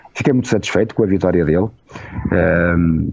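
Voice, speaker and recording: Over noticeable background noise, a man talks at a very deep, low pitch with fairly even intonation. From Portugal. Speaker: journalist and former radio director. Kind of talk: casual interview chat. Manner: slow, deliberate; hesitant, with fillers and repetitions.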